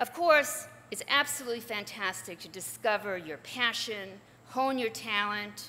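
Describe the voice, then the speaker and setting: A woman with a fairly high pitch speaks at a moderate pace with lively intonation. Her loudness swings a lot, and background noise is noticeable. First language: not English. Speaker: journalist and author. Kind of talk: commencement speech.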